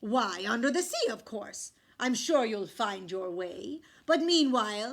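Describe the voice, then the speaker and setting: Putting on a character voice, a woman speaks in a fairly high pitch at a fairly slow pace. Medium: read story. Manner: regal, commanding.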